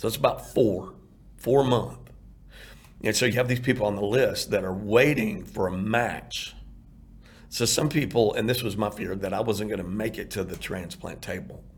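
A man speaks at a moderate pace in a somewhat breathy, medium-pitched voice with ordinary pitch variation and audible room echo. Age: 50s. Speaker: heart transplant recipient and outreach founder. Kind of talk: interview testimony.

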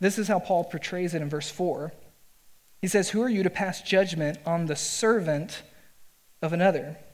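This man's voice sits high in pitch, with ordinary pitch variation. The room echo is audible. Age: 30s. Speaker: pastor. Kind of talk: sermon. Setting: church. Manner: hesitant fillers.

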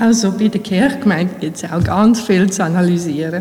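Audible room echo and noticeable background noise surround a woman as she speaks. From Bosnia, moved to Switzerland at 12-13. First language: Bosnian (speaking German). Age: 40s. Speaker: church administrator. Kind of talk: interview in church service. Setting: church with congregation.

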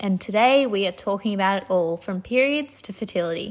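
With an Australian accent, a woman speaks at a medium pitch and a fairly quick pace. Her pitch variation is ordinary. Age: 20s. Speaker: podcast host. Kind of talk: casual chat; sales pitch.

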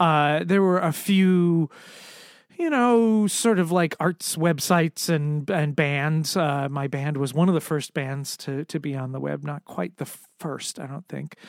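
Against a silent background in a very clean recording, a man speaks at a fairly slow pace with a fairly high pitch and ordinary pitch variation. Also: dry, close sound with no echo. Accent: American. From US Northeast, Connecticut. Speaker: entrepreneur and executive coach. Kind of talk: interview conversation. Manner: halting, many fillers and restarts.

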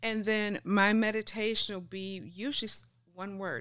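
In a very clean recording with a silent background, a woman with a plain, everyday voice speaks at a medium pitch with fairly even intonation. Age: 60s. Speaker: health and lifestyle coach. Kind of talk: interview conversation.

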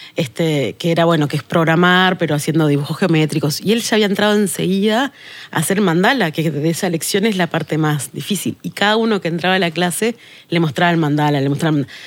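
On a very clean recording with a silent background, a woman with a fairly low pitch speaks at a very fast pace with very even loudness. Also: ordinary pitch variation. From Uruguay, Tacuarembó. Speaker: sustainability manager. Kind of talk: podcast interview.

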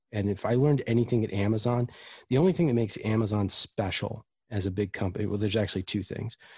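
Very fast and somewhat breathy, a man with an American accent talks at a fairly low pitch with ordinary pitch variation over a quiet background. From US East Coast, Washington DC. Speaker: chief experience officer, product designer. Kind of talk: interview.

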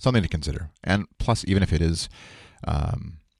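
There is vocal fry in this man's voice, recorded with a dry, close sound and no echo. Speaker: podcast host. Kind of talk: solo podcast monologue with ad read. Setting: home recording before work. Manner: casual, rambling with fillers.

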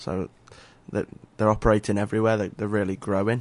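A man speaks in an English accent with a fairly low pitch. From England. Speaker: youth soccer coach. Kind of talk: radio interview. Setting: radio studio.

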